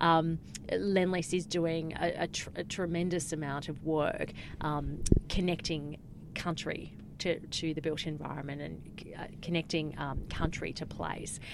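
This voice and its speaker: Speaking with an Australian accent, a woman uses a very deep, low pitch, vocal fry and monotone, flat intonation at a fairly slow pace. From Australia, Cairns, Queensland. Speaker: communications consultant, former journalist. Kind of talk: interview. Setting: studio.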